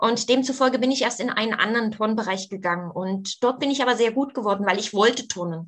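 Very fast speech comes from a woman with a fairly high pitch. Her pitch variation is ordinary. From East Germany. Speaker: former aerobics champion and fitness coach. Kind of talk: interview.

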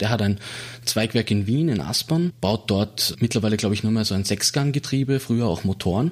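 Moderate pacing from a man at medium pitch, his pitch rising and falling normally. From Austria, Salzburg city. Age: 30s. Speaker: automotive industry researcher. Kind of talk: interview. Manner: halting.

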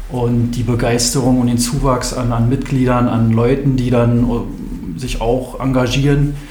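Speaking at a fairly slow pace, a man keeps a medium pitch and monotone, flat intonation. Audible room echo and noticeable background noise fill the recording. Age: 30s. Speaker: basketball club chairman. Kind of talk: interview.

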